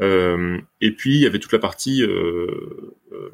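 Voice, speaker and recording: A man's voice, fairly low in pitch. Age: 30s. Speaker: startup founder, engineer. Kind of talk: casual interview.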